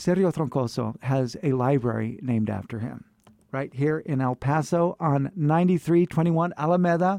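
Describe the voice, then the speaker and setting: At a moderate pace, the voice has a dark, mellow tone and ordinary pitch variation, recorded with a dry, close sound with no echo over a quiet background. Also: man, fairly high pitch for a man. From California. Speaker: radio host. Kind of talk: casual interview conversation.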